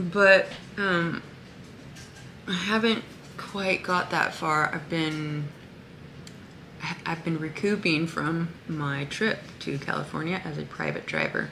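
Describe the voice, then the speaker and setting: Very slow, fairly even speech with long, frequent pauses, audible room echo, and noticeable background noise. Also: woman, fairly low pitch for a woman. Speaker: spiritual vlogger. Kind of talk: casual vlog monologue. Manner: halting, many fillers.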